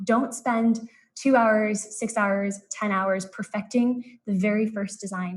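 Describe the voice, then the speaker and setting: This woman's voice sits at a fairly high pitch and sounds somewhat breathy. Her intonation is fairly even. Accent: American. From US West Coast, San Francisco Bay Area. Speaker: business consultant presenting a workshop. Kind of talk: live-streamed presentation. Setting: live online stream. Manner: fast.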